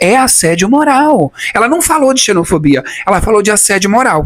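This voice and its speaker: In a Brazilian accent, a man with a high pitch talks at a fairly quick pace, his tone animated and his intonation lively. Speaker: youtuber, former immigrant. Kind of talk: personal testimony, storytelling vlog. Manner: animated, conversational.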